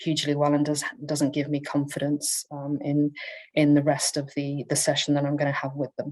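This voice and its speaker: A woman's very deep, low-pitched voice. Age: 40s. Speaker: conference presenter. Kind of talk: conference presentation. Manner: halting, many fillers.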